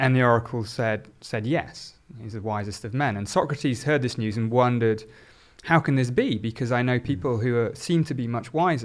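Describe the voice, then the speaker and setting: In a southern English accent, the speaker moves at a fairly quick pace on a very clean recording with a silent background. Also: man, medium pitch for a man, ordinary pitch variation. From southern England, South Oxfordshire. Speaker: neuroscience professor. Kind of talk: discussion.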